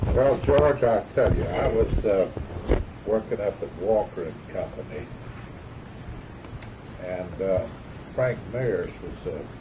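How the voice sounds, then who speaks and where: Noticeable background noise accompanies a man who speaks very slowly, with long, frequent pauses. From Tampa, Florida. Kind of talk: interview answer.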